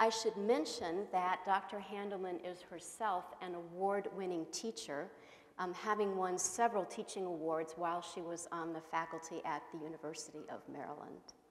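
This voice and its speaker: The speaker is a woman talking at a moderate pace. Her intonation stays fairly even. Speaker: host introducing a lecturer. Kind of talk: formal introduction speech. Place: hall. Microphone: lapel.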